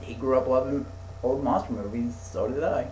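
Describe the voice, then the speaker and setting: A man at a medium pitch and moderate pace, with audible room echo and noticeable background noise. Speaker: podcast host. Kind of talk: casual chat. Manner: stuttering; halting.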